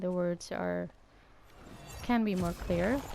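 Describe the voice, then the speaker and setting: A woman with a Danish accent, medium pitch, a dark, mellow tone and a fairly slow pace. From Denmark. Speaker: gaming YouTuber. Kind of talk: gameplay commentary.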